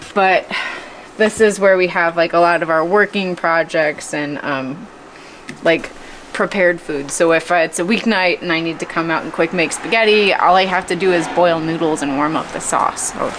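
A woman has an ordinary speaking voice, fairly low in pitch, at a moderate pace. Her intonation is fairly even, with light background noise. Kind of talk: casual vlog chat. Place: garage.

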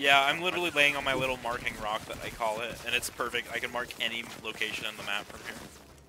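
Amid noticeable background noise, a man talks at a very fast pace with hardly any pauses, a medium pitch, ordinary pitch variation and big swings in loudness. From Canada. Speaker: gamer. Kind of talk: casual chat. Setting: voice chat.

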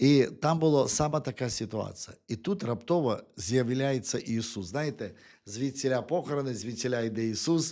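A man talks at a moderate pace in a medium pitch with a dark, mellow tone, on a very clean recording with a silent background. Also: ordinary pitch variation. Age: 50s. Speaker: preacher. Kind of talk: sermon. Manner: halting, with frequent repetitions.

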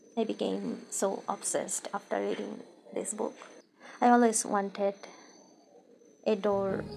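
Fairly slow speech in a non-native accent, broken by long, frequent pauses, with music in the background. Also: woman. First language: non-native English speaker. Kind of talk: casual Q&A talk to camera.

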